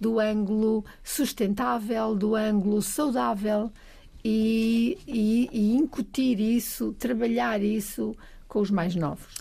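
The voice is somewhat breathy with a dark, mellow tone. It moves at a very slow pace. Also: woman, fairly high pitch for a woman, fairly even intonation. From Trás-os-Montes, Portugal (Bragança). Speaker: science museum agency president. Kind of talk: casual chat.

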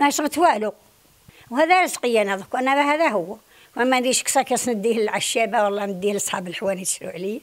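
A woman with a western Algerian accent talks at a fairly quick pace. Her pitch is fairly high and her intonation lively. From Algeria, Sebdou, Tlemcen province; Tlemcen province, Algeria. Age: 80s+. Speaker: traditional craftswoman. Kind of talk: interview testimony; interview answer. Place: home room. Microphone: handheld.

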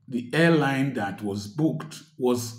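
Over a quiet background with audible room echo, a man sounds somewhat breathy as he speaks with ordinary pitch variation. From Nigeria. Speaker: doctor and commentator; commentator. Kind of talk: social commentary monologue. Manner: animated. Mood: earnest, complaining about hardship. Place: home room. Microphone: phone near.

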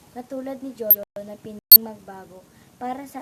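A woman speaks at a fairly slow pace with fairly high pitch and a bright, sharp tone. Her intonation stays fairly even, and the sound is dry and close with no echo. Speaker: student documentary narrator. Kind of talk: scripted narration.

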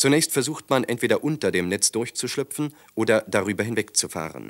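In a very clean recording with a silent background and a dry, close sound with no echo, a man talks at a fairly quick pace with lively intonation. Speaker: documentary narrator. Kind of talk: 1940s-style wartime newsreel narration, scripted and dramatic. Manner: brisk, authoritative, clipped and urgent delivery; formal, declamatory, gravely emphatic.

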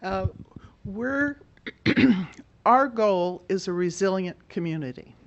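A woman speaks at a slow pace. Her intonation is lively. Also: medium pitch for a woman.

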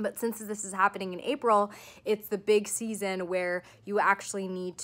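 A woman speaks with fairly even intonation, keeping a moderate pace. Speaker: vlogger. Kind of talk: casual vlog chat. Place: home room. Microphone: phone near.

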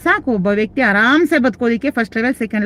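Dry and close with no echo, a woman's voice moves with lively intonation. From Karnataka, Mandya district. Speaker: reiki teacher. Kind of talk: live stream Q&A. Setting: live stream.

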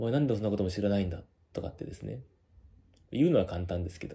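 A man with a fairly low pitch and a dark, mellow tone talks at a very fast pace. His voice is somewhat breathy, with lively intonation. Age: 30s. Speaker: company employee and video blogger; vlogger. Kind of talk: monologue. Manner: hesitant, many filler words. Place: home room. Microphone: phone near.

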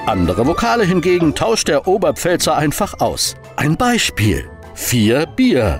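Music plays in the background as a man talks at a fairly slow pace. His loudness stays very even. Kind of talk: explainer narration.

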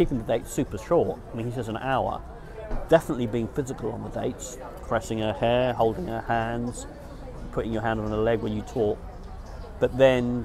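Noticeable background noise accompanies a man who talks at a fairly quick pace. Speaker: dating vlogger. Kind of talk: casual vlog chat. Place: garden. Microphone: lapel.

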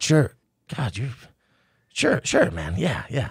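A man uses a raspy, put-on character voice at a medium pitch. His pitch swings very widely. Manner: nervous, meek, mumbling.

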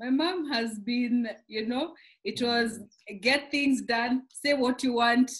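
The speech comes at a very slow pace against a quiet background. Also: woman. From Kenya. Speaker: pastor's wife. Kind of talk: interview. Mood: cheerful, laughing often. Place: home room. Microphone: video call.

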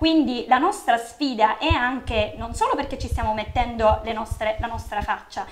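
At a moderate pace, a woman's voice makes very wide pitch swings over light background noise. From Sicily, Catania; Sicily. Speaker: local party organizer; guest. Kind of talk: political interview. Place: studio.

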